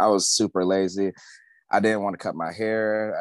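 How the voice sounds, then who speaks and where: Recorded with a dry, close sound with no echo and a quiet background, a man has an unremarkable speaking voice, fairly low in pitch, at a moderate pace. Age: 20s. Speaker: tattoo artist. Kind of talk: casual chat.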